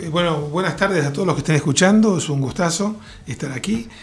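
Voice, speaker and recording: The intonation is lively and the pace fairly quick. Music plays in the background. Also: man. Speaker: futurist and tech entrepreneur. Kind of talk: interview.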